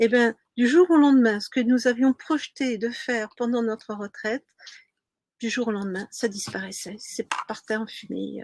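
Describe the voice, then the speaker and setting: At a fairly slow pace, a woman with an ordinary speaking voice talks at a fairly high pitch with fairly even intonation, in a dry, close sound with no echo. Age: 60s. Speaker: sailing coach. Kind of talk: webinar presentation. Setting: live stream.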